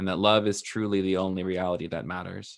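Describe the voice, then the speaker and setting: A man with an unremarkable speaking voice, fairly low in pitch, at a moderate pace. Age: 30s. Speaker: digital pastor and spiritual coach. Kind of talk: casual interview.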